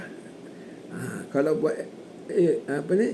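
A man's voice over noticeable background noise. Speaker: hajj course teacher. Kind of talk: lecture. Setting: online course. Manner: formal.

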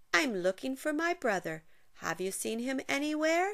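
A woman puts on a character voice pitched high, swinging her pitch very widely at a moderate pace.

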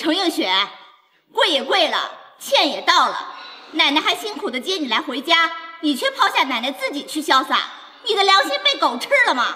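A put-on character voice moves at a moderate pace with big pitch swings and a bright, sharp tone. Room echo is audible. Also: woman, high pitch for a woman.

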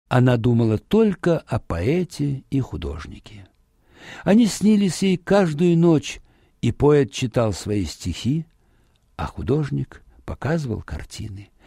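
Here a man speaks at a fairly slow pace and a medium pitch, his tone dark and mellow with vocal fry and a slightly husky edge. His pitch swings widely, and the recording is very clean with a silent background.

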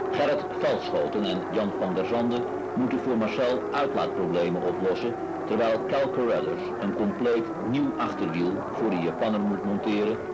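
A man talks in a dramatic tone at a fairly slow pace. Music plays in the background. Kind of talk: 1970s sports newsreel narration, scripted voice-over. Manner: formal, brisk, dramatic, measured newsreel delivery.

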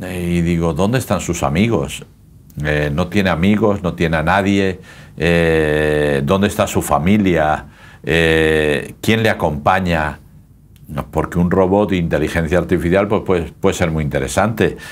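A man's very deep, low voice moves at a fairly slow pace, with ordinary pitch variation and very even loudness. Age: old. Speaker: pastor. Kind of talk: casual chat. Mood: calm, warm, reflective. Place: studio.

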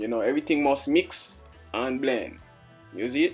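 A man with a Jamaican accent, moderate pace and lively intonation, music in the background. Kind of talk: comedic voiceover of a makeup tutorial. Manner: playful, joking.

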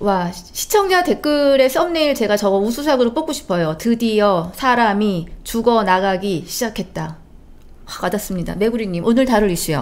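At a moderate pace, a woman speaks in a fairly high voice with very wide pitch swings. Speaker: talk show host. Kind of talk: live political talk show. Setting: studio. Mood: somber, sympathetic. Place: studio. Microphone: studio mic.

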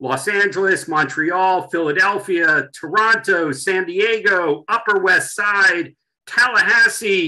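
Over a quiet background, a man speaks very slowly in a raised, projected voice with a bright, sharp tone. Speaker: webinar host. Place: home room. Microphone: video call.

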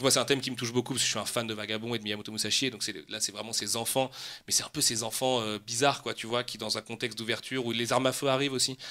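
A man's bright, sharp tone at a very fast pace, with monotone, flat intonation. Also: medium pitch for a man. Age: 30s. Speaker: comics and manga publisher. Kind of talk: casual chat.

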